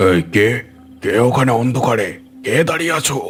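Over clear music, a man puts on a raspy character voice at a medium pitch. He speaks at a moderate pace with lively intonation. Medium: cartoon. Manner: rustic, colloquial.

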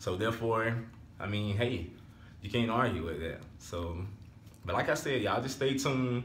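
Somewhat breathy, the voice carries lively intonation with long, frequent pauses. Audible room echo and light background noise surround it. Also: man, medium pitch for a man, moderate pace. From Alabama. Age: 20s. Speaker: vlogger. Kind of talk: casual vlog talk to camera. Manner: animated. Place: home room. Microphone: phone near.

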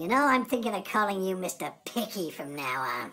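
A woman puts on a cartoonish character voice. Her pitch is medium and her pace moderate. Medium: puppet show. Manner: sarcastic.

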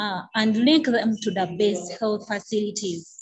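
Somewhat breathy, a woman talks with fairly even intonation. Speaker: nurse and patient advocate. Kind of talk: testimony. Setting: video call.

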